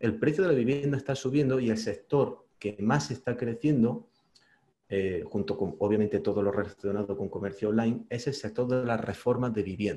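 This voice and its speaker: Somewhat breathy and dark, mellow in tone, a man speaks at a medium pitch with ordinary pitch variation and a moderate pace. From Spain. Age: 40s. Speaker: investor and YouTuber. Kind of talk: interview.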